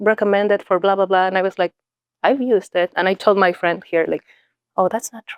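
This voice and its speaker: Speaking at a fairly quick pace with fairly even intonation, a woman is recorded with a dry, close sound and no echo. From Mexico. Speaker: nonprofit leader and executive coach. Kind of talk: podcast interview.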